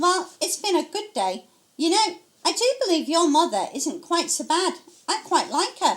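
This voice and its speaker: A woman uses a put-on character voice, squeaky and extremely high in pitch. She speaks at a moderate pace with lively intonation. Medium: read story. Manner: plain-spoken, affectionate.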